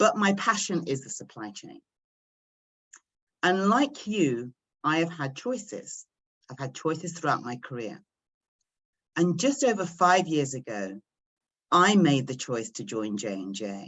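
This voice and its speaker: Vocal fry runs through this fairly slow delivery, which has very wide pitch swings, big swings in loudness and long, frequent pauses. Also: woman, fairly low pitch for a woman. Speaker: pharmaceutical supply chain executive. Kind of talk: presentation at virtual recruiting event. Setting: video call.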